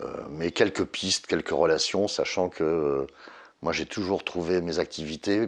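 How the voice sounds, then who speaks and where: A man's voice, pitched very deep and low, comes over a quiet background. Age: 60s. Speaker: interviewee sharing life story. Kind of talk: testimony. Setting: at home. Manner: halting.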